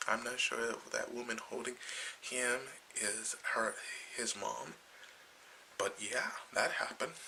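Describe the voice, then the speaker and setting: Someone is whispering at a fairly slow pace. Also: man. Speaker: comic book vlogger. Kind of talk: casual video review. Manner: halting, many fillers.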